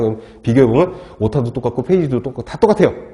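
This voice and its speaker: Very fast and lively in intonation, a man talks in a medium-pitched, somewhat breathy voice with a dark, mellow tone. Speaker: lecturer. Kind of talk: lecture. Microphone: wearing a mask, muffled.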